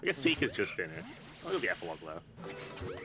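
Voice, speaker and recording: A man speaks with an Australian accent. Music plays in the background. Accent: thick Australian. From South Australia, Adelaide. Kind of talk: casual chat. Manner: fast.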